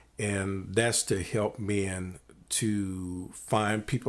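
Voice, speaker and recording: This very clean recording with a silent background features a man with a plain, everyday voice. His pitch is fairly low and his intonation fairly even. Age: 60s. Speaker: podcast host. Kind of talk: casual interview.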